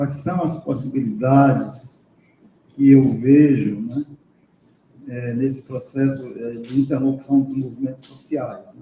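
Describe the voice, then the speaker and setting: Speaking at a very slow pace, a man keeps a medium pitch. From Brazil, Piauí. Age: 60s. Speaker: professor, seminar speaker. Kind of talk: academic panel discussion.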